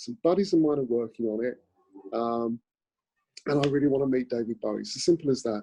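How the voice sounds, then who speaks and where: Speaking very fast in a London accent, a man with a dark, mellow tone and a medium pitch uses ordinary pitch variation and takes long, frequent pauses. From South London, England. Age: 60s. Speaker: actor. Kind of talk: casual chat. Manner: halting.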